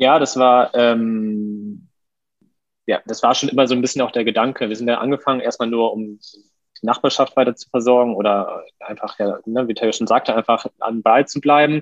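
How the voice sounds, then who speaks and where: An ordinary speaking voice, a man at medium pitch and moderate pace, fairly even intonation, dry, close sound with no echo. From Lower Saxony, Germany (Westerstede). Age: 30s. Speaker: chef and restaurant owner. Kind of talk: podcast interview.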